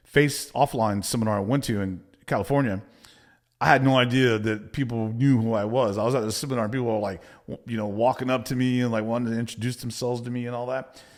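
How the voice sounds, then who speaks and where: Very fast man with a Texan accent, medium pitch and fairly even intonation, on a very clean recording with a silent background. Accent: Texan American English. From Texas. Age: 50s. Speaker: business coach. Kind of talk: motivational talk to camera. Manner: direct, casual.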